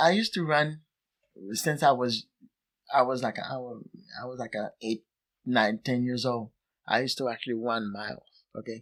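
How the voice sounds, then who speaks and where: A man with a Haitian accent speaks at a medium pitch with ordinary pitch variation and long, frequent pauses, in a dry, close sound with no echo. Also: moderate pace. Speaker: soccer coach. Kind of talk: casual interview. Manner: halting.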